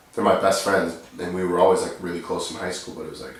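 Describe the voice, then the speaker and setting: A quiet man's voice in an American accent, with audible room echo and noticeable background noise. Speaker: rapper. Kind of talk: casual chat. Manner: low-key, quiet delivery.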